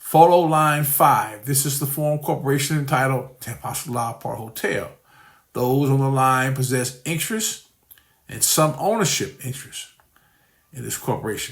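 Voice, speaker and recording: A man's somewhat breathy voice with ordinary pitch variation carries audible room echo. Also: fairly high pitch for a man, moderate pace. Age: 60s. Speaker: scam victim and investor. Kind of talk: testimony. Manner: halting.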